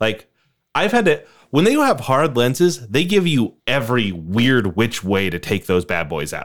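On a very clean recording with a silent background, a man of medium pitch talks at a fairly slow pace with vocal fry and very wide pitch swings. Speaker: podcast co-host. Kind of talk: casual banter. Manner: laughs often.

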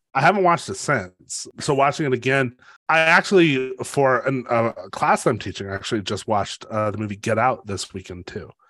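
With an American accent and a bright, sharp tone, the voice moves at a fairly quick pace with lively intonation over a quiet background. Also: man, medium pitch for a man. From US. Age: 40s. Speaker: podcast co-host, writing teacher. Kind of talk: casual chat.

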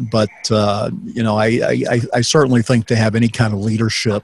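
A man talks at a fairly quick pace with a slightly husky edge. His pitch is fairly low and shows little movement.

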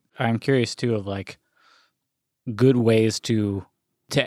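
This man talks at a fairly slow pace, his pitch medium, with long, frequent pauses. The sound is dry and close, with no echo. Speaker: podcast co-host. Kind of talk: casual chat. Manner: animated, talkative.

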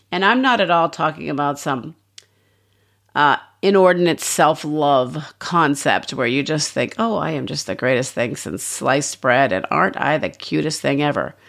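Speaking at a moderate pace, a woman with a very deep, low pitch uses lively intonation and vocal fry on a very clean recording with a silent background. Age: 60s. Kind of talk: devotional teaching talk.

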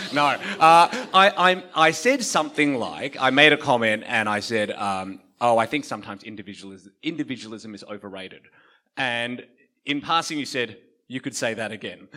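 An Australian accent at a moderate pace, with lively intonation, big swings in loudness and a bright, sharp tone, in a very clean recording with a silent background. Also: man, medium pitch for a man. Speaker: pastor and interviewer. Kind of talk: interview and closing prayer. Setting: church with audience.

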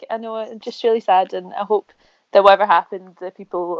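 A woman in a Glaswegian accent, monotone and flat, at a fairly quick pace, with a dry, close sound, no echo, and a quiet background. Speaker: food podcast host. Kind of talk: casual chat.

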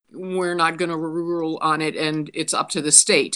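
A woman with an American accent speaks at a fairly low pitch in an ordinary speaking voice. The recording is very clean, with a silent background. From Pittsburgh, Pennsylvania. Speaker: political candidate, retired social worker. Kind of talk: podcast interview.

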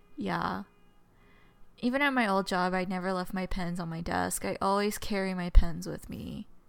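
Moderate pace, ordinary pitch variation, and big swings in loudness over music in the background. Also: woman, medium pitch for a woman. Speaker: podcast co-host.

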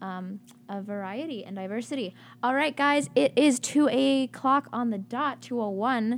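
A high-pitched female voice with an American accent, fairly slow, with lively intonation and big swings in loudness, on a very clean recording with a silent background. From Atlanta, US South. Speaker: college radio host. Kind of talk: casual chat. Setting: studio.

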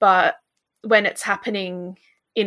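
With an Australian accent, a woman speaks in a bright, sharp tone. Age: 20s. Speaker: dietitian. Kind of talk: casual chat.

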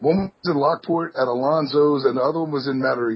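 A somewhat breathy male voice, fairly high in pitch with ordinary variation, at a fairly quick pace. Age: 20s. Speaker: metal band musician. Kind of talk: casual chat.

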